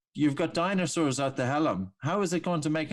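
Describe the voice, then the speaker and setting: In an Irish accent, a man speaks at a moderate pace with ordinary pitch variation. The recording is very clean, with a silent background. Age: 40s. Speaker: breathing coach. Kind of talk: interview. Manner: animated.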